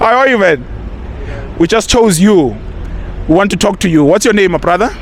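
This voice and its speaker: Over noticeable background noise, a man talks fairly quickly in a high voice with ordinary pitch variation and very even loudness. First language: Zulu. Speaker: YouTube presenter, street interviewer. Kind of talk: casual commentary to camera; street interview. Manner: repetitive, many fillers and restarts.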